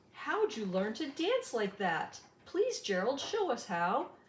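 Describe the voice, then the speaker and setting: In a put-on character voice, a woman speaks high-pitched and fairly slowly, with very wide pitch swings and a slight echo. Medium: read story.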